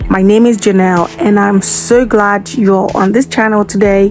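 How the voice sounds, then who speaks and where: At a moderate pace, a woman of medium pitch speaks with ordinary pitch variation over noticeable background noise. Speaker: YouTuber doing movie reviews. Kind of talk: casual movie review narration.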